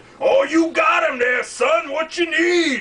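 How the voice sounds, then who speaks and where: Shouting in a put-on character voice, a man pitches himself extremely high and keeps to a fairly slow pace. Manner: over the top, loud.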